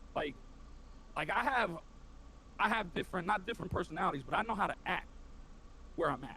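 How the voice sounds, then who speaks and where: With an American accent, a man talks at a fairly quick pace. His voice shows vocal fry. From inner city, US. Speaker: Twitch streamer, Marine veteran. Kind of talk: casual interview chat. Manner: animated, passionate.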